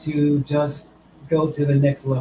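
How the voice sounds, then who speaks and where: Somewhat breathy, a man speaks at a very slow pace and a fairly high pitch. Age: 60s. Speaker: testimonial guest. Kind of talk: testimony.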